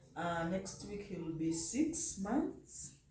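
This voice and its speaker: At a very slow pace, a woman speaks at a medium pitch amid audible room echo. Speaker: vlogger mother. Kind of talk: casual vlog talk. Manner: halting.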